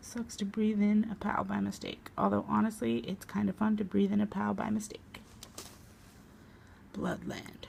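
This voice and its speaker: Soft-spoken, a woman talks in a gentle tone at a moderate pace. Noticeable background noise can be heard. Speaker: ASMR artist. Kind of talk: ASMR comic book reading. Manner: soft-spoken, quiet, gentle.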